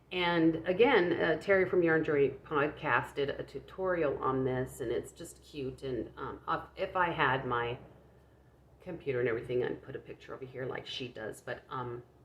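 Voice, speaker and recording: A woman speaks at a moderate pace, her loudness swinging widely. Background noise is noticeable. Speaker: crochet vlogger. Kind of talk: casual chat. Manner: halting, many fillers and repeats; low-pitched, quiet.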